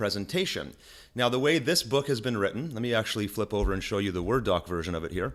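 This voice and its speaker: A man talking very fast on a very clean recording with a silent background. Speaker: online marketing tutor. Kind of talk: screen-share tutorial. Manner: casual, with frequent fillers and restarts.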